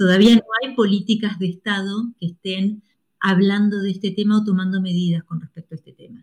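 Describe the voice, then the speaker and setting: A woman's fairly quick, somewhat breathy voice at a medium pitch, flat and monotone, with big swings in loudness and a dry, close sound with no echo. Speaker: astrologer. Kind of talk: interview.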